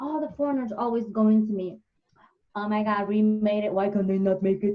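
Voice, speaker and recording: A woman speaks at a medium pitch with a somewhat breathy quality. Her pace is fairly quick. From Somalia. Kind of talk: casual chat. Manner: animated.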